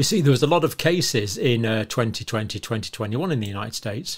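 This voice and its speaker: A man speaks with lively intonation and a somewhat breathy sound. The background is quiet. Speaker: health commentator. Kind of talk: lecture. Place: home room.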